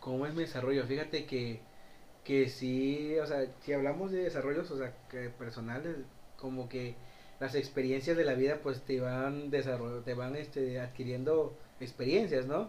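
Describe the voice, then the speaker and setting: Audible room echo surrounds a man speaking at a fairly slow pace and medium pitch. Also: fairly even intonation. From Mexico, Cárdenas. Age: 20s. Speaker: shop vendor. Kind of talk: casual chat.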